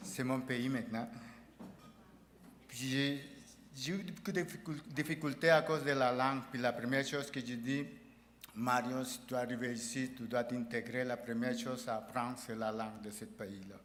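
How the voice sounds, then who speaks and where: With long, frequent pauses, a man speaks at medium pitch and a moderate pace amid audible room echo. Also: ordinary pitch variation. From El Salvador. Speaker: award recipient, union president. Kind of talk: acceptance speech. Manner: halting, with false starts.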